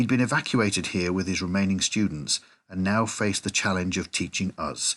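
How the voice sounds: The clip carries a natural reading voice whose intonation is fairly even.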